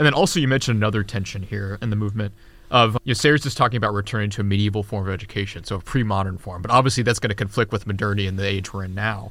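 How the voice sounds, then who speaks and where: Very fast speech with hardly any pauses and fairly even intonation. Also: man, fairly low pitch for a man, very clean recording, silent background. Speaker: podcast host and journal editor. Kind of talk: podcast interview.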